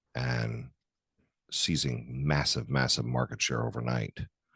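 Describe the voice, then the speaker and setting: A man is heard with a dry, close sound and no echo. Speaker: podcast host, orthopaedic surgeon. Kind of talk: casual interview. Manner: stuttering at times.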